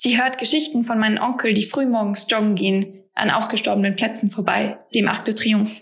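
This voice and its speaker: A woman with a fairly high pitch at a fairly quick pace, fairly even in intonation and very even in loudness, over noticeable background noise. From Paris and Freiburg, bilingual French-German. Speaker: member of a Franco-German youth association. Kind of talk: scripted personal narration. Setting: home office.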